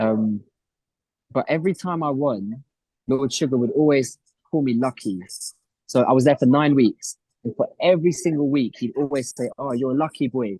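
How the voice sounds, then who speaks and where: A man with a London accent, medium in pitch and dark, mellow in tone, at a fairly quick pace in a dry, close sound with no echo. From North London, England. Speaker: reality TV contestant and entrepreneur. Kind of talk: interview.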